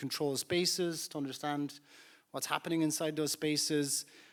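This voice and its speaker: With an Irish accent, a man speaks at a moderate pace in a fairly high voice and fairly even intonation. The recording is very clean and the background silent. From Ireland. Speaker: startup founder and CEO. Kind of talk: panel discussion.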